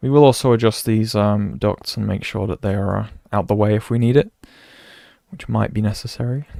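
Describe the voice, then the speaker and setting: In a British accent, the speaker uses a dark, mellow tone at a moderate pace, recorded very cleanly with a silent background and a dry, close sound with no echo. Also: man. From Britain. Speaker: video game streamer. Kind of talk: live stream commentary. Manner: casual, thinking aloud.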